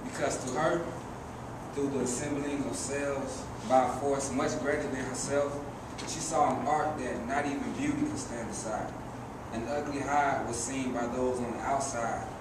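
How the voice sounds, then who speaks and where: A man talks at a moderate pace. Loud background noise and audible room echo surround his voice. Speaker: poet performer. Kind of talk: spoken word poetry performance. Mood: serious, reflective. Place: stage. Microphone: camera far.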